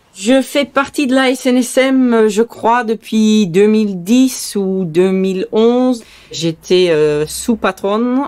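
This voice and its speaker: A woman with a fairly high pitch talks at a very slow pace with hardly any pauses, ordinary pitch variation and very even loudness. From Saint-Martin, Caribbean (Belgian parents). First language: Dutch (speaking French). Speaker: sea rescue boat skipper. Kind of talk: testimony. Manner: hesitant with frequent fillers.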